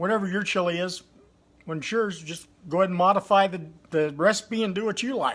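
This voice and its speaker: Loud and fairly quick, a man speaks in a high voice with ordinary pitch variation. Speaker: home cooking video creator. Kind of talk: casual cooking livestream.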